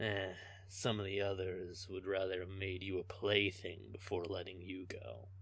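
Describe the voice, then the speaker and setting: Put-on character voice from a man, very deep and low in pitch, moving at a moderate pace. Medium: audio drama. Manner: teasing, smug, laughing.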